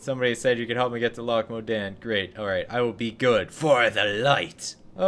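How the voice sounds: Ordinary pitch movement in a natural reading voice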